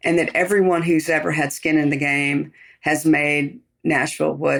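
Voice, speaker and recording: A woman speaks with a very deep, low pitch and vocal fry, her loudness kept very even throughout. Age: 60s. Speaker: chef. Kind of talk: interview. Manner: casual.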